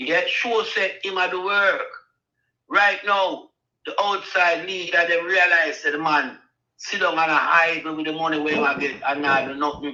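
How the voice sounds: In a room with audible echo, a man with a fairly high pitch and a bright, sharp tone talks at a fairly slow pace with fairly even intonation.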